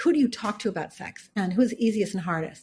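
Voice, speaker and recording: A woman speaks in a somewhat breathy voice. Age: 50s. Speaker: author and business founder. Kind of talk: podcast interview.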